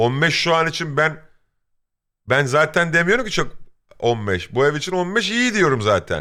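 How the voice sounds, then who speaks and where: This man talks at a fairly slow pace with long, frequent pauses, very wide pitch swings and a bright, sharp tone, in a very clean recording with a silent background. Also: fairly high pitch for a man. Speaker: streamer. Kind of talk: casual chat. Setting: live stream.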